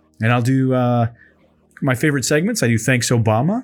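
A man with an American accent has a normal speaking voice at medium pitch. He moves at a fairly quick pace with ordinary pitch variation. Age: 30s. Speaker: podcast host. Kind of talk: casual chat. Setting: live stream with chat. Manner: chatty, upbeat.

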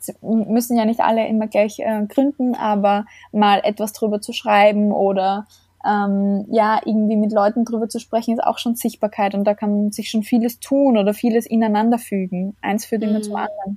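A woman with a fairly high pitch speaks in a dark, mellow, somewhat breathy tone with monotone, flat intonation. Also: moderate pace. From Austria (small village). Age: 20s. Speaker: leadership coach and founder. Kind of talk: interview.

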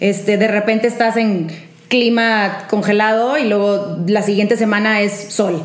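The speech moves at a fairly slow pace with very even loudness and fairly even intonation. Background noise is noticeable. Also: woman, medium pitch for a woman. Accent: Monterrey. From Monterrey, Mexico. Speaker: professional skater and performer. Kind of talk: casual chat, anecdotes.

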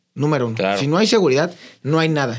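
Recorded very cleanly against a silent background, a man talks at a very fast pace in a fairly high pitch with ordinary pitch variation. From Mexico, Querétaro (Corregidora). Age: 30s. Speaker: local politician. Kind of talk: interview.

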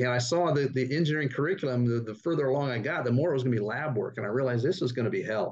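A man with an American accent talks at a very fast pace in a medium pitch with ordinary pitch variation. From Northern California. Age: 60s. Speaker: startup investment executive. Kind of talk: interview.

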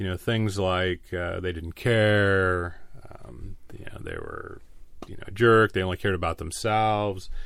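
A man with an American accent speaks in an ordinary speaking voice, fairly slow and fairly low-pitched, with fairly even intonation. His loudness swings widely in a very clean recording with a silent background. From US West Coast, San Diego area. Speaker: retired police chief. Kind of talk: interview.

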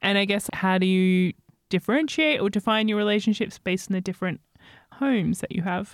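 A woman's medium-pitched voice with an Australian accent, at a fairly quick pace and with ordinary pitch variation. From Sydney, Australia. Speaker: podcast co-host. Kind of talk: casual chat.

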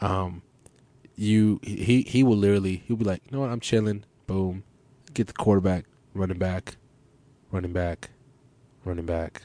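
A man with an American accent has a dark, mellow tone and fairly even intonation. He keeps a moderate pace, with long, frequent pauses. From Los Angeles, US. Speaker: podcast host. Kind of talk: casual chat, podcast conversation. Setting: studio at a radio station.

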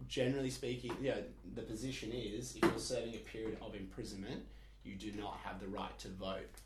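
At a fairly quick pace, a man with an Australian accent speaks with big swings in loudness. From Perth, Australia. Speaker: student. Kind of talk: casual chat.

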